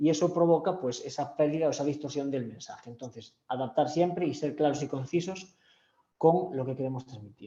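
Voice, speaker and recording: A man speaks fairly quickly in a dark, mellow, somewhat breathy tone at a fairly high pitch. His pitch varies in an ordinary way, while his loudness swings widely. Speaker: communication skills trainer. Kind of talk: online training session. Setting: video call from home. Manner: fast.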